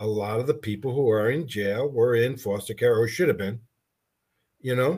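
With a medium pitch and a slightly breathy quality, a man is speaking. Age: 60s. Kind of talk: casual interview.

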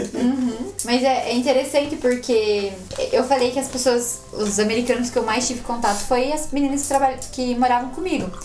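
There is an audible room echo. Noticeable background noise is also present. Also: woman, high pitch for a woman, ordinary pitch variation, moderate pace. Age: 20s. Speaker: former exchange worker sharing travel stories. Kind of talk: casual chat. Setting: home studio.

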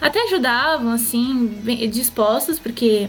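A high-pitched woman speaks at a fairly slow pace with ordinary pitch variation. Noticeable background noise is present. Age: 20s. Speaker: online content creator. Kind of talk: casual chat.

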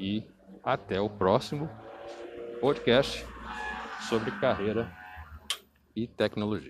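A man talks at a very slow pace and a fairly low pitch, with long, frequent pauses and ordinary pitch variation. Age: 40s. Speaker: career coach and tech professional. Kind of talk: monologue podcast. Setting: outdoors on the street.

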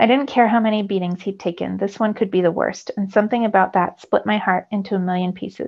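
The text is read aloud in a natural voice.

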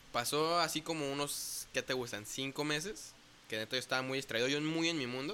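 A man with a western Mexican accent speaks at a fairly quick pace in a fairly high pitch. His tone is bright and sharp, with ordinary pitch variation. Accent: Mexican Spanish, western Mexico. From Mexico, Puerto Vallarta, Jalisco. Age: 20s. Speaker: bass player in a church worship band. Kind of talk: casual interview.

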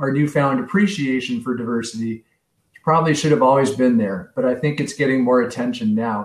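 With an American accent, a man talks at a medium pitch and ordinary pitch variation. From San Francisco, US West Coast. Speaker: local political candidate. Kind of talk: interview.

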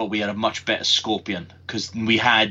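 Speaking at a moderate pace, a man with a Welsh accent uses a fairly low pitch. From Wales. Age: 30s. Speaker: podcast co-host. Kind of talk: casual chat. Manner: animated.

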